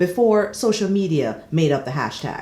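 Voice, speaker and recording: The speech comes at a moderate pace. It is delivered with a Jamaican accent. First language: Jamaican Patois. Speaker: soap opera commentator. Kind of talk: casual vlog commentary. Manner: animated.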